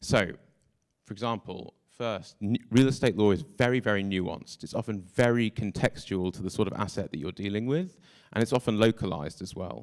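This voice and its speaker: Fairly low-pitched man with a British accent and big swings in loudness, dry and close with no echo, on a very clean recording with a silent background. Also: ordinary pitch variation, fairly quick pace. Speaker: tech startup co-founder. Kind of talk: conference talk.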